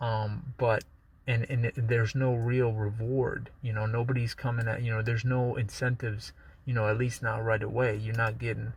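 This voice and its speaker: A man speaks at a moderate pace in a medium-pitched, somewhat breathy voice with flat, monotone intonation. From United States, Balkan-born immigrant. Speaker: YouTuber. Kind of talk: casual vlog monologue. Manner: casual, lots of fillers and restarts.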